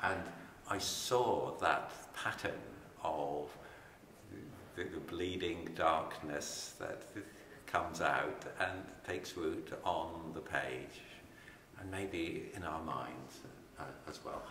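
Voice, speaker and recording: A man speaks at a very slow pace, with long, frequent pauses. Noticeable background noise runs under him. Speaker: poet. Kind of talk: author talking about his book.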